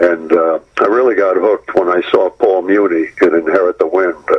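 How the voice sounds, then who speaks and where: A moderate pace with noticeable background noise. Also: man. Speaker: actor. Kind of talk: interview. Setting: phone call. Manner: halting.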